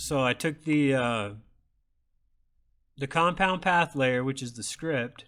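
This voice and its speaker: A man speaks loudly at a medium pitch in a bright, sharp tone with ordinary pitch variation. His delivery is very slow, with long, frequent pauses. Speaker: sticker maker demonstrating design software. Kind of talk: tutorial. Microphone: microphone too close.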